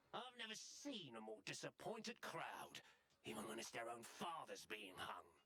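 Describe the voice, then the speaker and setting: A low-pitched, put-on character voice at a moderate pace. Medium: video game. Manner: rowdy.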